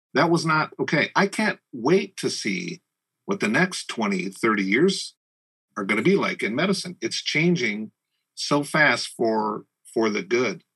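A man's fairly high, bright, sharp voice with vocal fry and very wide pitch swings, at a fairly slow pace, dry and close with no echo. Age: 50s. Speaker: entrepreneur. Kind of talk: casual chat.

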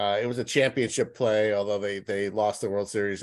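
Very clean and silent in the background, this recording features a man with an ordinary speaking voice. He speaks at a moderate pace and a fairly low pitch. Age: 50s. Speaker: sports journalist. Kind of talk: casual interview.

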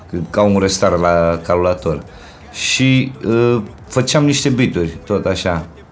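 A man talks at a very slow pace with a very deep, low pitch and lively intonation, keeping his loudness very even. Room echo is audible and background noise is noticeable. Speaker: rapper. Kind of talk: casual interview. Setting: in a home. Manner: animated.

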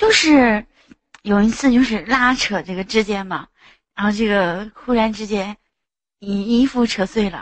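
Long, frequent pauses break up a woman's speech, which has a fairly high pitch and ordinary pitch variation. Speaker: caller. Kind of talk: casual chat. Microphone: echo.

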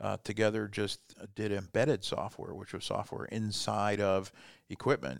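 A man with a Midwestern American accent, speaking at a moderate pace with fairly even intonation. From US Midwest (Fort Wayne, Indiana). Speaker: business coach. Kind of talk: casual interview. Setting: studio.

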